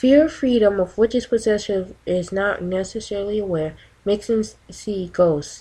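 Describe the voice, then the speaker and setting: Soft-spoken and somewhat breathy, a woman with a medium pitch talks in a dark, mellow tone with ordinary pitch variation. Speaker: ASMR reader. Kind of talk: ASMR reading of a radical text.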